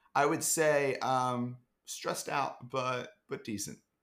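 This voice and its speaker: Speaking very slowly, a man talks with an American accent. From US Northeast, Philadelphia. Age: 20s. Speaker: startup marketer. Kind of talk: casual chat.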